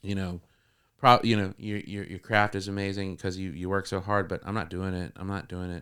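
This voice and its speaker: This very clean recording has a silent background. A man with an American accent speaks at a fairly quick pace and fairly low pitch. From northern Florida. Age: 40s. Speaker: comedian and musician. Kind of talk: casual interview chat. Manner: halting, many repeated words.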